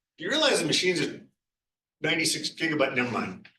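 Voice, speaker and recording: A man with a bright, sharp tone, amid audible room echo. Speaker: guest lecturer, systems researcher. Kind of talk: lecture. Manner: quiet; casual, conversational.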